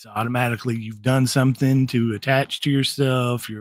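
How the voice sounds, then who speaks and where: In a Southern US accent, a man at a medium pitch talks in a flat, monotone way on a very clean recording with a silent background. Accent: Southern twang. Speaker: paranormal investigator. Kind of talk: podcast interview.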